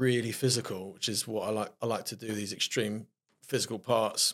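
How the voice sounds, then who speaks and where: The recording is very clean with a silent background. A man speaks in a South London accent with monotone, flat intonation. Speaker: actor. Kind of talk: casual interview chat.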